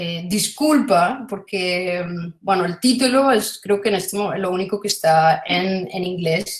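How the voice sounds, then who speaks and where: A woman is the speaker. Her pitch shifts in an ordinary way. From Colombia. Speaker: philosophy of economics researcher. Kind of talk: academic lecture. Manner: halting, many fillers.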